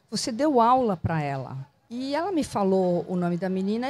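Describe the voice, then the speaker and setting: A woman speaks at a medium pitch with a dark, mellow, somewhat breathy tone. Her pitch swings very widely. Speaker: cultural producer and entrepreneur. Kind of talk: casual interview. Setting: outdoors in a public square bandstand.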